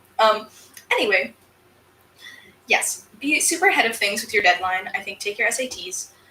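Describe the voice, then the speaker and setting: A woman's fairly high, animated voice with an American accent, lively intonation, moderate pace, big swings in loudness, long, frequent pauses and noticeable background noise. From upstate New York, US. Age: 20s. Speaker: crafter and streamer. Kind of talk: live stream Q&A chat. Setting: live stream.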